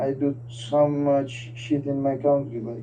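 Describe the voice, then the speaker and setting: A man's fairly high voice with a Turkish accent. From Turkey. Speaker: interview guest. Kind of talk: casual chat.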